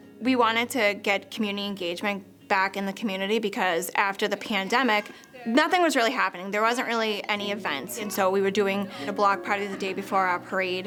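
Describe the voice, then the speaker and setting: Over noticeable background noise, a woman speaks fairly quickly with a Boston accent. Her pitch is medium, with ordinary pitch variation. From Boston, Charlestown. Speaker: community volunteer, parent. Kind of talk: interview testimony.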